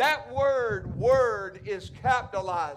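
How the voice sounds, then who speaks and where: Extremely high in pitch, a man speaks at a very slow pace with ordinary pitch variation. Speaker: pastor. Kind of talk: church sermon, preaching to congregation. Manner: emphatic, passionate preaching. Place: church.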